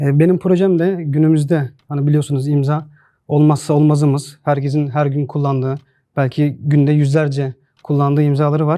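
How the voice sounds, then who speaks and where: At a moderate pace, a man speaks in a fairly high, dark, mellow tone with monotone, flat intonation. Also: very even loudness. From Turkey, Çorum. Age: 30s. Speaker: signature designer and entrepreneur. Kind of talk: pitch to investors.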